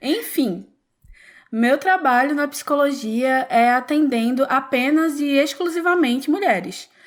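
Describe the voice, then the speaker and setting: In a Pernambuco accent, a woman speaks in a high voice at a fairly slow pace. Her loudness stays very even, and her pitch varies in an ordinary way. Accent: Pernambuco accent, noticeable. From Pernambuco, northeast Brazil. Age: 20s. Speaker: psychologist. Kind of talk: podcast interview.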